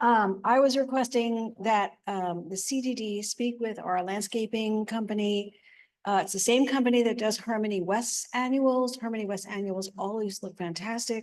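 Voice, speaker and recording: With fairly even intonation, a woman speaks at a fairly high pitch and a moderate pace. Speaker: resident making public comment. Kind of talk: public comment at meeting. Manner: soft-spoken.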